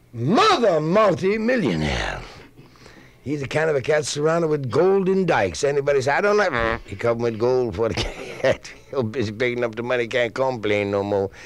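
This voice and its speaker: Noticeable background noise sits behind a man talking at a moderate pace. His medium-pitched voice swings very widely in pitch. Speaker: comedian. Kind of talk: hipster spoken-word comedy monologue. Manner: jazzy hipster slang, rhythmic.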